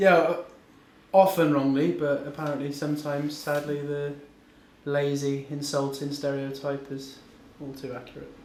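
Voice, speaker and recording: A man with a fairly high pitch talks at a moderate pace in a monotone, flat intonation, leaving long, frequent pauses. His loudness swings widely, with noticeable background noise and audible room echo. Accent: strong Bristolian. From Bristol, West Country England. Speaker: rapper. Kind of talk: interview.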